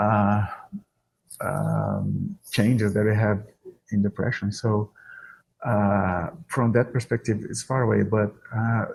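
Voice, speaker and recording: Against a quiet background, a man with a strong Brazilian accent speaks at a fairly low pitch, somewhat breathy, at a fairly slow pace with monotone, flat intonation. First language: Portuguese. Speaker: exercise and depression researcher, professor. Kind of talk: podcast interview. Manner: hesitant, many fillers.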